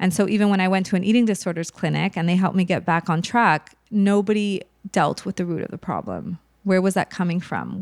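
A woman with an unremarkable speaking voice talks at a fairly quick pace and a fairly low pitch, with fairly even intonation. The sound is dry and close, with no echo. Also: very clean recording, silent background. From Montreal, Canada. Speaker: mental health advocate. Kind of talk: personal testimony in interview.

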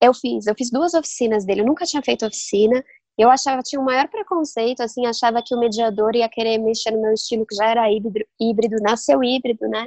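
A woman talks very fast with hardly any pauses. Her pitch is fairly high, and the sound is dry and close with no echo. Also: ordinary pitch variation. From Brazil, São Paulo. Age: young. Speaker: novelist. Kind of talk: interview. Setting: remote recording.

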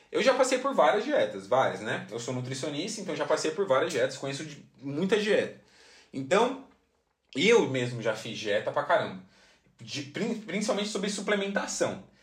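A man speaks at a high pitch in an animated tone, his pitch swinging very widely. His pace is moderate, and audible room echo fills the recording. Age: 20s. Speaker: podcast host. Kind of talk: casual monologue.

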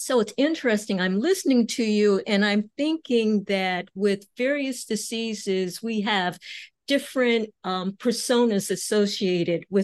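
A woman speaks in a plain, everyday voice at a fairly slow pace, her pitch fairly high. She uses ordinary pitch variation over a quiet background. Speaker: physician and health podcast host. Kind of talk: interview.

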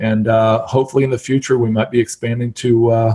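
In an American accent, a man talks fairly quickly at a medium pitch, his dark, mellow, somewhat breathy voice flat and monotone, recorded dry and close with no echo. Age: 50s. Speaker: real estate investor. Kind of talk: interview.

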